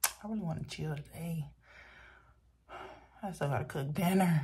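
A woman talks at a moderate pace in a low pitch with a dark, mellow tone. Her pitch varies in an ordinary way.

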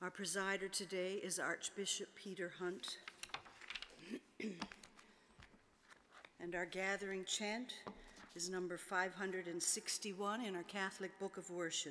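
Monotone, flat intonation at a very slow pace, with light background noise. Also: woman. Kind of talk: liturgical announcements. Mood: calm, formal. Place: church. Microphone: podium.

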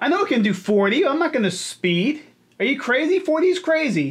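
At a moderate pace, a man delivers his words. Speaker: car vlogger. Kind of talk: casual vlog chat. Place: home room. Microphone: studio mic.

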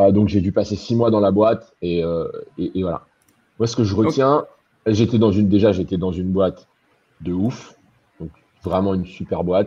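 A man with a fairly low pitch talks at a moderate pace in a dark, mellow tone, using ordinary pitch variation and leaving long, frequent pauses. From Normandy, France (born in Caen). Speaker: web developer and designer, entrepreneur. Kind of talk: live-streamed interview. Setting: online live stream, video call. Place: home room. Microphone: video call.

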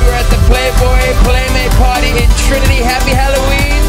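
Loud music plays in the background. Over it, a man talks at a moderate pace. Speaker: party guest. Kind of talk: casual party greeting to camera. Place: bar. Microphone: phone near.

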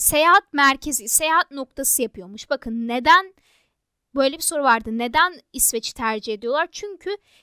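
In a very clean recording with a silent background and a dry, close sound with no echo, a woman uses a raised, projected voice with a bright, sharp tone, high pitch and lively intonation at a moderate pace. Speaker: exam prep tutor. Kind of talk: tutorial.

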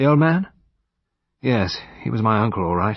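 In a put-on character voice, a man talks at a moderate pace with a fairly low pitch, a slightly husky edge and big pitch swings.

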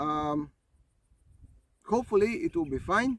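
A man is speaking. His pace is very slow. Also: dry sound with no echo. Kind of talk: casual vlog chat. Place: open country.

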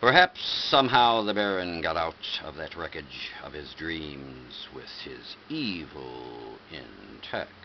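A man with a very deep, low voice speaks at a very slow pace, his loudness swinging widely over light background noise. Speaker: reader. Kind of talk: reading a poem or story aloud. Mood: dramatic, lurid storytelling. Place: home room. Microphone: webcam.

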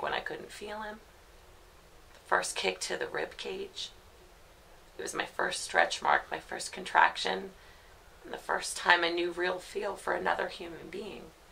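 Long, frequent pauses break up this woman's speech. Her pace is fairly slow. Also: big swings in loudness. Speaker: actor playing a grieving mother. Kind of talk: dramatic monologue. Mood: grief-stricken, raw, pained. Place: home room.

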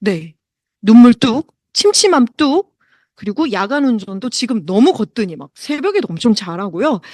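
In a dry, close recording with no echo and a quiet background, a woman speaks at a fairly slow pace with a high pitch and very wide pitch swings. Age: 40s. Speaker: product presenter. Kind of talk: sales pitch.

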